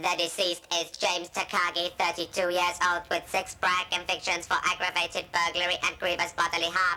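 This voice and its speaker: A cartoonish, female-sounding character voice, fairly low for a woman, with monotone, flat intonation, a fairly quick pace and hardly any pauses. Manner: flat, precise.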